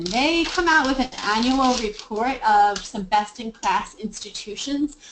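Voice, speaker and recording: A woman with an American accent speaks at a fairly slow pace, using ordinary pitch variation. Noticeable background noise sits under her voice. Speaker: sustainability consultant. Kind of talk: webinar Q&A. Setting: webinar.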